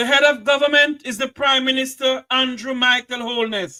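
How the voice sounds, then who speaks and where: Raising and projecting his voice, a man with an extremely high pitch and a bright, sharp tone speaks at a fairly slow pace, the sound dry and close with no echo. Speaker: call-in show host. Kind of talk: call-in talk show.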